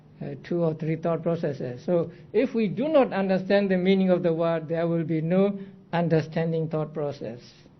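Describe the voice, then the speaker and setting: A man's high-pitched voice at a moderate pace, with ordinary pitch variation and audible room echo. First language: not English. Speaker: Buddhist monk teaching Abhidhamma. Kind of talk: lecture.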